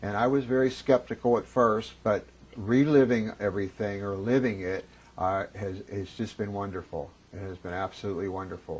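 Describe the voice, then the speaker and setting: A man speaks in an unremarkable speaking voice, fairly low in pitch. He keeps a moderate pace with ordinary pitch variation. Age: 50s. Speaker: former smoker giving testimonial. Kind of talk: testimony.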